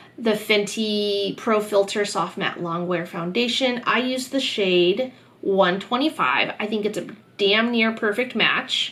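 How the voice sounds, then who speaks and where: Speaking at a very slow pace, a woman with a fairly high pitch is heard over noticeable background noise. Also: ordinary pitch variation. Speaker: beauty YouTuber. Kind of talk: product review vlog. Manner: casual, filler words.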